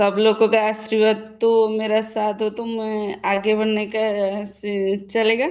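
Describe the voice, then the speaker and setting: A woman's fairly high-pitched voice, monotone and flat in intonation, with hardly any pauses. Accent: Odia. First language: Odia (speaking Hindi). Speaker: direct-selling business member. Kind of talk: testimony. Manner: halting.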